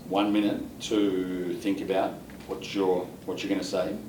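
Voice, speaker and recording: Over noticeable background noise, a man with an Australian accent speaks fairly slowly at a fairly low pitch. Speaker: IELTS examiner. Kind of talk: mock speaking test interview questions.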